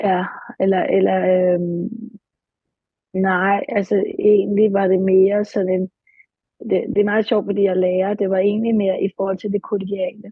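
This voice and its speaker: A woman speaks at a medium pitch in a flat, monotone delivery. Her pauses are long and frequent. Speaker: client in therapy session. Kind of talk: therapy session. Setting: studio. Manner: halting.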